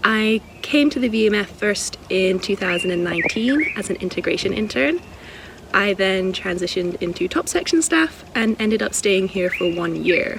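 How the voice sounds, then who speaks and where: Against noticeable background noise, a woman with a Scottish accent speaks at a moderate pace. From Scotland. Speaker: wildlife sanctuary worker. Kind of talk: casual vlog walkthrough.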